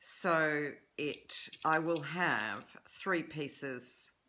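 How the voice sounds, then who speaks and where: A woman's very deep, low voice with a bright, sharp tone and ordinary pitch variation. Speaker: sewing tutor. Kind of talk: tutorial.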